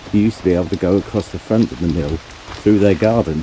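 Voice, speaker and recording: A man speaks in a very deep, low register with a Norfolk accent. His pitch rises and falls in an ordinary way. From Norfolk, England. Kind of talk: casual walking tour narration.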